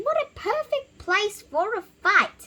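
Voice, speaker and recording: A squeaky, put-on character voice at a fairly slow pace. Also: woman. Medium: read story. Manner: hearty, declaiming.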